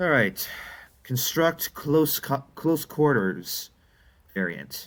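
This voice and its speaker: This man has a fairly high pitch and vocal fry. He talks very slowly, with very wide pitch swings. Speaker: gaming youtuber. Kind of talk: gameplay commentary. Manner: stuttering, halting; casual, conversational.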